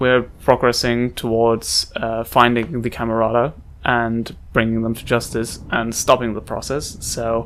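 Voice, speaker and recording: At a fairly slow pace, a man talks at medium pitch in a monotone, flat intonation. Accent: non-native. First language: not English. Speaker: let's play gamer. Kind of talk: gameplay commentary. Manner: halting.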